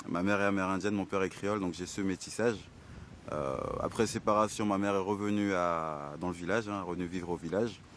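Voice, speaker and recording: This man has a very deep, low pitch. He talks at a fairly quick pace with fairly even intonation. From French Guiana. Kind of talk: documentary interview.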